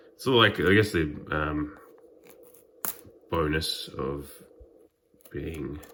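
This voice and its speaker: Very slow and very deep, a man speaks in a low voice with an Australian accent. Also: long, frequent pauses, big swings in loudness. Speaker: trading card YouTuber. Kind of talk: unboxing video. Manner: hesitant, many fillers.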